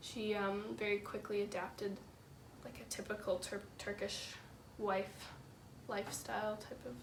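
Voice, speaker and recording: A moderate pace in a Canadian accent, with noticeable background noise and audible room echo. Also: woman. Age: young. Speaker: university student. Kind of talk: interview. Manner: hesitant, many fillers.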